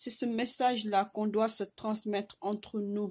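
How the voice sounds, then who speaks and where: A woman's very slow, monotone, flat delivery on a very clean recording with a silent background. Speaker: vlogger. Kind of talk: impassioned video message. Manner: halting, with repetitions.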